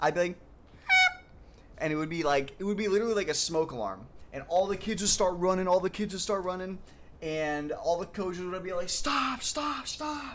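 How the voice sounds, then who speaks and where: Amid noticeable background noise, a man with an American accent talks at a fairly quick pace in a high, animated voice with lively intonation. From Michigan. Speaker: video game streamer. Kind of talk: casual chat.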